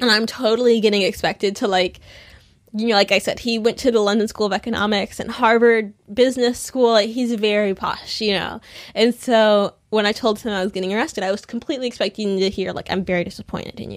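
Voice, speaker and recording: Speech in an American accent comes at a very fast pace over a very clean recording with a silent background. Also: woman, fairly even intonation. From United States. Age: 20s. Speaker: activist. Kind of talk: interview conversation. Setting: hotel room. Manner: hesitant with many fillers.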